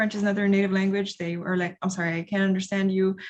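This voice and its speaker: A somewhat breathy woman's voice with monotone, flat intonation. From Honduras. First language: Spanish. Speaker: international development professional. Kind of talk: panel discussion. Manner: halting.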